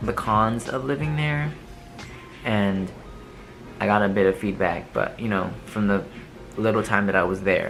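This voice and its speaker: Music plays in the background and room echo is audible as a man with a fairly low voice and ordinary pitch variation speaks at a moderate pace, leaving long, frequent pauses. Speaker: vlogger. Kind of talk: casual chat. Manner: halting, many fillers and restarts.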